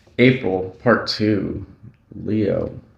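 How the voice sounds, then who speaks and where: A man speaks in a monotone, flat intonation. Noticeable background noise is present. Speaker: tarot reader. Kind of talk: tarot reading. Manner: casual, rambling with fillers.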